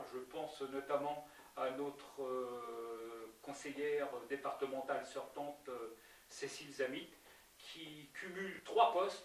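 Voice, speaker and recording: Amid noticeable background noise and audible room echo, a man speaks at a fairly slow pace in a fairly high pitch with ordinary pitch variation. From France, Yvelines (Verneuil area). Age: 70s. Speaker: local election candidate. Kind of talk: political interview. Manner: halting, many hesitations and repetitions.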